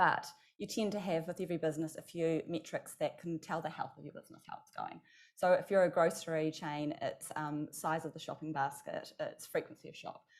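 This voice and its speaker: Speaking fairly quickly with a New Zealand accent, a woman shows big swings in loudness. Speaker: marketing executive and agency founder. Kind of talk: conference panel discussion. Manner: fast.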